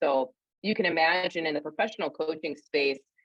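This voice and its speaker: The speaker talks at a fairly quick pace with ordinary pitch variation and a slight upstate New York accent. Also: woman. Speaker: career coach and speaker. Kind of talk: interview.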